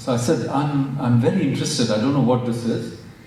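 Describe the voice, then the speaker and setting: A man's medium-pitched voice with a Marathi accent at a moderate pace, amid noticeable background noise and audible room echo. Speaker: professor. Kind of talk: public talk. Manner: halting, many fillers.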